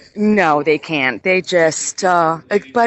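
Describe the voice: A woman speaks at a fairly low pitch with a fairly bright tone.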